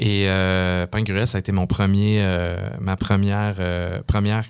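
A man with a Quebec accent, a fairly low pitch and fairly even intonation. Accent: Québécois French. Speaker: mixologist and entrepreneur. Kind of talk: interview. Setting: studio.

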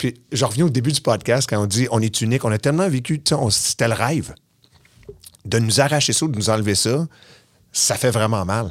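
A man with a Quebec accent at a moderate pace and medium pitch, ordinary pitch variation, long and frequent pauses, very clean recording with a silent background. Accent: Québécois French. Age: 40s. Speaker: podcast host and former music TV host. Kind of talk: casual chat.

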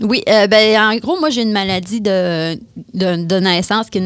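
Speaking with a Quebec accent, a woman has a medium pitch and fairly even intonation. Her pace is moderate. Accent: Québécois French. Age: 30s. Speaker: woman with paraplegia. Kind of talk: interview. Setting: studio.

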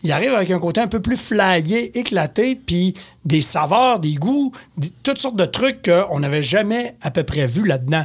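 This man has a high pitch and a Quebec accent, and his voice makes very wide pitch swings. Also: fairly slow pace. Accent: Québécois French. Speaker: beer columnist and store beer expert. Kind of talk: casual chat.

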